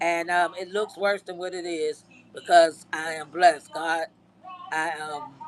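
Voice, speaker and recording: A woman at a fairly slow pace, fairly low in pitch, with monotone, flat intonation and big swings in loudness over noticeable background noise. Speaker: army veteran livestreamer. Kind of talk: live stream chat. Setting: live stream with green screen. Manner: halting.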